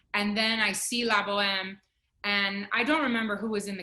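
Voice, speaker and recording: A woman's bright, sharp voice, medium in pitch, at a fairly quick pace. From Miami, Florida (Cuban-American family). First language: Spanish. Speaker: opera singer. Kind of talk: interview.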